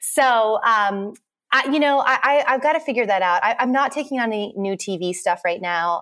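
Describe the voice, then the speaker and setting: In an American accent, a woman speaks at a moderate pace with fairly high pitch, a bright, sharp tone and lively intonation, on a very clean recording with a silent background. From central Texas. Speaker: homesteader and interior stylist. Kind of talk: casual interview chat.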